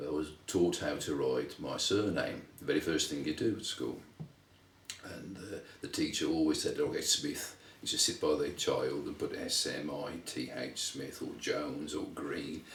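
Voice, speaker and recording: A man's moderate pace in a West Midlands accent, with audible room echo. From England, Wolverhampton (West Midlands). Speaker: interviewee, son of Lithuanian immigrants. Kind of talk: interview, life story. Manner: halting, many fillers and repeats.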